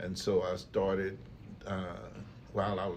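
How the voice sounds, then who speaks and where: In an American accent, a man with a very deep, low voice speaks fairly slowly with fairly even intonation, the room echo audible. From East Texas, US. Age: 60s. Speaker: retired factory worker and entrepreneur. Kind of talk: casual interview. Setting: podcast.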